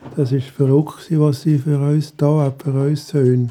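The voice is somewhat breathy, with a dark, mellow tone. It moves at a fairly slow pace in monotone, flat intonation. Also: man. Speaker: retiree. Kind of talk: personal storytelling.

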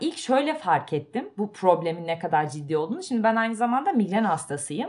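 This woman sounds animated, her pitch swinging very widely. She talks at a moderate pace. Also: quiet background. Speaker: podcast co-host. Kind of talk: casual chat.

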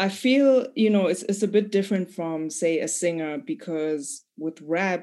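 A woman's fairly low voice, dark and mellow in tone, at a moderate pace, in a very clean recording over a silent background. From Zimbabwe. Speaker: rap artist. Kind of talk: casual interview.

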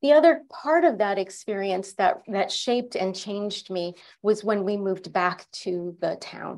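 In a very clean recording with a silent background, a woman with an unremarkable speaking voice talks at medium pitch and a fairly slow pace with lively intonation. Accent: American. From Connecticut, US. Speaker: leadership coach and executive. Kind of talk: interview.

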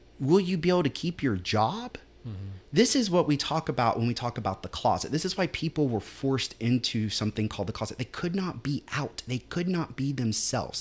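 In a very clean recording with a silent background, a man talks at a fairly quick pace in a fairly high, somewhat breathy voice with very wide pitch swings. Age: 30s. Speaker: city councilman and teacher. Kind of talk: casual chat. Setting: studio.

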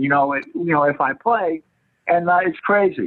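A man speaks with a high pitch and very wide pitch swings. His pace is moderate. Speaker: senior writing group member. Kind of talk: casual storytelling. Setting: video call. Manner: halting.

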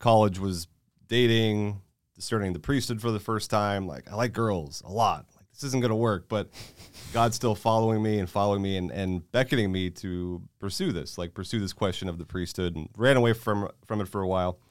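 Using a normal speaking voice, a man with a fairly low pitch delivers his words at a fairly quick pace, his pitch varying in an ordinary way. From Florida, Tampa Bay. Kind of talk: casual chat. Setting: studio.

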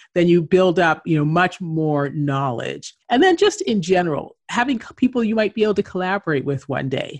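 A woman of medium pitch with a Canadian accent, an ordinary speaking voice, at a moderate pace. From Canada. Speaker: entrepreneur and author. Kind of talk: interview.

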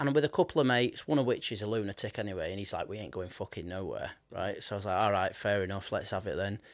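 A man talks at a very fast pace with a Yorkshire accent, his pitch fairly low. The recording is very clean, with a silent background. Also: ordinary pitch variation. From northern England, Leeds. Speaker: podcast host and musician. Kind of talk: casual interview chat.

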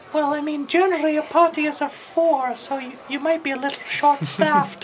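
A female-sounding put-on character voice, high-pitched, at a fairly quick pace over clear background noise. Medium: actual play.

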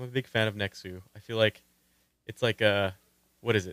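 A man is speaking here. His pace is moderate and his pitch is medium. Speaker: podcast host. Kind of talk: casual chat.

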